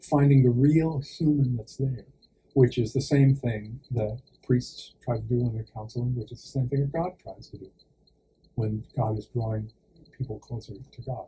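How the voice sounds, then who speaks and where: A man at medium pitch speaks at a moderate pace in a somewhat breathy, dark, mellow tone, his intonation fairly even but his loudness swinging widely. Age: 60s. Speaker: actor and priest. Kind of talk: interview. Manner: hesitant, many fillers.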